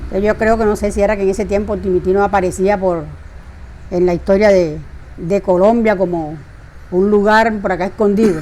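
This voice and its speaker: Over noticeable background noise, a woman speaks at medium pitch and a fairly quick pace with long, frequent pauses, her intonation monotone and flat and her loudness very even. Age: 70s. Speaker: retired teacher. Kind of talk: interview. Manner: conversational, with hesitations.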